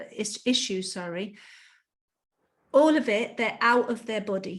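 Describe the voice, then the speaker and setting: A woman talks fairly slowly in a somewhat breathy, fairly high voice, her pitch varying in an ordinary way. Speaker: life coach. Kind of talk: interview conversation.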